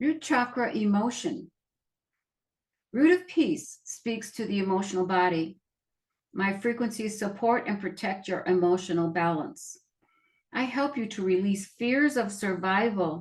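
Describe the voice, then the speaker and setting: With lively intonation and long, frequent pauses, a woman speaks in a somewhat breathy voice. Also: medium pitch for a woman, fairly slow pace. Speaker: nurse practitioner and energy healer. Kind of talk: reading aloud from healing cards. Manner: repeats phrases, occasional stammer.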